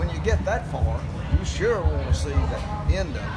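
Loud background noise surrounds a man as he talks. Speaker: runner. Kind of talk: interview answer. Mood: reflective, warm. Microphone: handheld.

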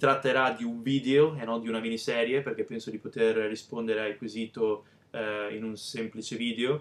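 The speaker is a man talking at a moderate pace. His intonation stays fairly even. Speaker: bodybuilding vlogger. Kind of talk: casual vlog chat. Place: home room. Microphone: webcam.

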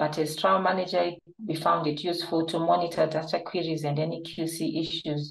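A woman with a very deep, low pitch and vocal fry speaks at a moderate pace in a flat monotone. The background is quiet, though room echo is audible. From Zimbabwe. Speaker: clinical trial manager and nurse. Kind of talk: webinar presentation. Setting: online webinar. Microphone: webcam.

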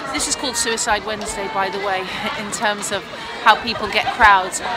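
Loud music plays behind a woman talking at a fairly quick pace. The sound is dry, with no echo. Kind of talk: casual vlog chat. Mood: upbeat and grateful. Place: street. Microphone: phone near.

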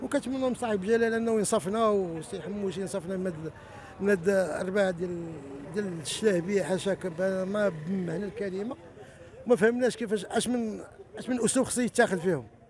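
This man's voice sits high in pitch, with ordinary pitch variation, a dry sound with no echo and light background noise. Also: moderate pace. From Morocco. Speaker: protester, emigrant property buyer. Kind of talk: street interview testimony. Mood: aggrieved, demanding justice. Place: street. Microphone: handheld.

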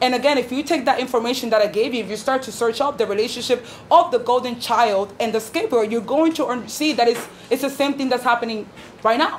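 Over light background noise, a woman with an American accent speaks at a very fast pace in a high voice with ordinary pitch variation. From New York City, the Bronx. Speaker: activist, former school paraprofessional. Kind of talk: speech to audience. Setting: stage with live audience. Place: meeting room. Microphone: camera far.

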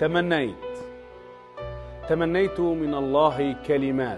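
A man speaking at a very slow pace with ordinary pitch variation, music in the background. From Tunisia. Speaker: TV presenter; poet. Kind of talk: poetry reading.

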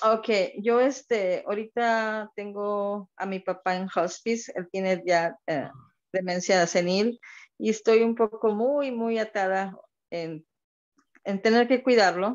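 A woman at medium pitch with ordinary pitch variation, speaking at a very slow pace against a quiet background. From Monterrey, Mexico; Mexico. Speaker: caller. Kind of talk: casual chat. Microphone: video call.

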